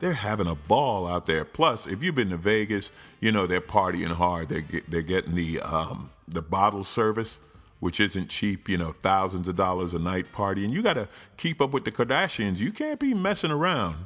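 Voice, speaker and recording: In a very clean recording with a silent background, a man with a fairly low voice uses lively intonation and has an ordinary speaking voice. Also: moderate pace. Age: 50s. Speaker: comedian. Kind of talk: comedic political commentary monologue.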